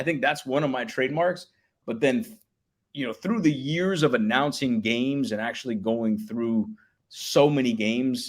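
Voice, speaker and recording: A man talks with an American accent and lively intonation. The recording is very clean, with a silent background. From Miami, Florida. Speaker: public address announcer. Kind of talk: casual chat.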